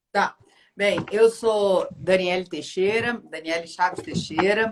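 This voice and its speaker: A woman with a Pará accent speaks very slowly at a medium pitch, with ordinary pitch variation. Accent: northern Brazilian (Pará). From Brazil, Pará (North). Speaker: law professor and lawyer. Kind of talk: live-stream interview.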